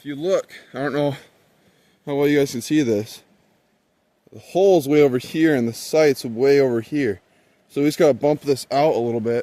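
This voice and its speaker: Shouting loudly in a dark, mellow tone with ordinary pitch variation, the speaker leaves long, frequent pauses on a very clean recording with a silent background. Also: man, fairly high pitch for a man, moderate pace. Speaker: outdoors YouTuber reviewing a bow. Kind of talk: casual tutorial. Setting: outdoors. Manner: loud, near yelling.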